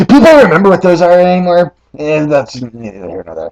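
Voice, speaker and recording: Recorded dry and close with no echo, a man puts on a raspy, high-pitched character voice. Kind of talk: casual talk to camera.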